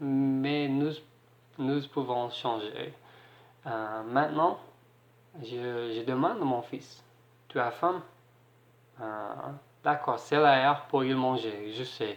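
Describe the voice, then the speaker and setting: Very slow speech in an English accent, with long, frequent pauses, fairly even intonation, big swings in loudness and audible room echo. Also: man, medium pitch for a man. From Ireland. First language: English (speaking French). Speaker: single parent vlogger. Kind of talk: advice vlog. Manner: halting, hesitant.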